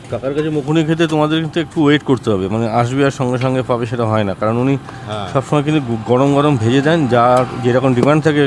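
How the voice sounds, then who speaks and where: Noticeable background noise beneath a man's voice at medium pitch. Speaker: street food vlogger. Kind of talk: food vlog narration. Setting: outdoors.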